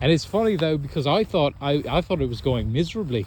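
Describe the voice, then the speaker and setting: At a moderate pace, a man speaks at a fairly high pitch with very wide pitch swings. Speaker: podcast host. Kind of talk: casual chat. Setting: outdoors. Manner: loud.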